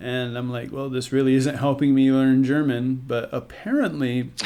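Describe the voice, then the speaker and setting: With an American accent, a man at medium pitch speaks at a moderate pace, with audible room echo and noticeable background noise. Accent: American with occasional Southern twang. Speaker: podcast host and musician. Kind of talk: casual chat.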